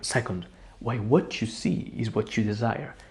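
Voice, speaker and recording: In a dark, mellow tone with vocal fry, the speaker moves at a fairly slow pace on a very clean recording with a silent background. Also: man. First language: Italian. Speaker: psychology content creator. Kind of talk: self-help talk to camera.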